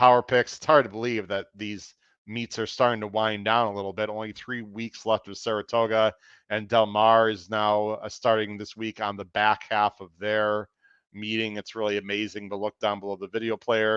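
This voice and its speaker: Against a quiet background, a man speaks in a monotone, flat intonation at a moderate pace, with big swings in loudness and a dry, close sound with no echo. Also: fairly low pitch for a man. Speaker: horse racing podcast host; teacher. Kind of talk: podcast monologue, race preview.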